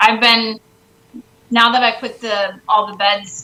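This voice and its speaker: A woman speaks with monotone, flat intonation. Background noise is noticeable. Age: young. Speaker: homesteader. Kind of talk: casual chat.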